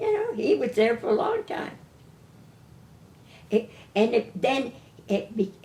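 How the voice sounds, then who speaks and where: In a New England accent, a woman speaks at a fairly slow pace. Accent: New England American. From Windsor Locks, Connecticut. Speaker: retired grocery store owner. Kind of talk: oral history interview answer.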